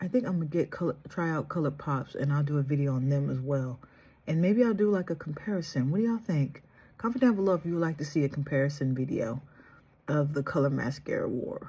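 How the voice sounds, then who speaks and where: Soft-spoken and somewhat breathy, this dark, mellow voice races along at a very fast pace with lively intonation. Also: woman, very deep, low pitch for a woman. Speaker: beauty vlogger. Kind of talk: makeup tutorial.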